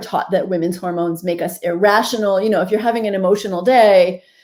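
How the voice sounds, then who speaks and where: A woman talks with an American accent. Her tone is dark and mellow. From US Northeast. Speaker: physician and author. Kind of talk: interview. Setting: video call.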